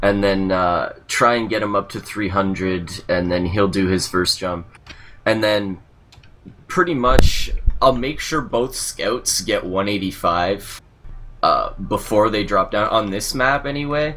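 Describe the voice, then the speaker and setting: With a Canadian accent, this man has an unremarkable speaking voice, fairly low in pitch, moving at a fairly slow pace with ordinary pitch variation. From Canada. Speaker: gamer being mentored. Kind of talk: casual chat.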